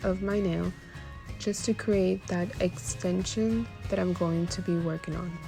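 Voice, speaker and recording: A woman's very deep, low voice with very wide pitch swings over music in the background. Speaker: nail technician. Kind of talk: tutorial voice-over. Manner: low, quiet.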